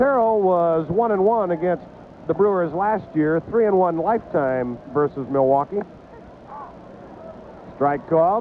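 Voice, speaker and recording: Over noticeable background noise, a man with a high pitch and lively intonation talks at a fairly slow pace, keeps his loudness very even and takes long, frequent pauses. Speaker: baseball play-by-play announcer. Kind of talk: live sports play-by-play commentary. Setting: ballpark broadcast booth, 1987 TV recording.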